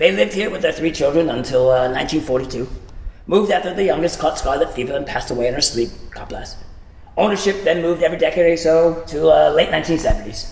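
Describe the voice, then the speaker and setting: Putting on a gruff character voice, a man talks at a high pitch and a fairly quick pace with slight echo and light background noise. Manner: curmudgeonly, gruff, dismissive.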